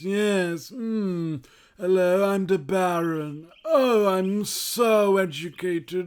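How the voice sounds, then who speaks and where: Someone performs a put-on character voice at a middle pitch and a very slow pace, on a very clean recording with a silent background. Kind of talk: pompous, overeducated. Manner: stupid, affected, snobby.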